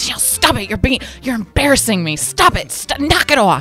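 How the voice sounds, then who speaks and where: At a moderate pace, someone performs a put-on character voice at a fairly high pitch. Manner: scolding, exasperated.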